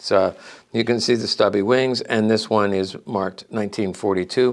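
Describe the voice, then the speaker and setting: A man with a normal speaking voice talks at a medium pitch with fairly even intonation on a very clean recording with a silent background. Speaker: gun collectibles dealer. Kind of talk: show-and-tell product presentation. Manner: casual, many fillers.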